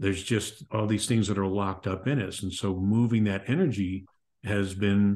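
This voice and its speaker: A man speaks with a fairly low pitch and a dark, mellow tone. The background is quiet. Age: 60s. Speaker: author and podcast host. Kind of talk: interview conversation.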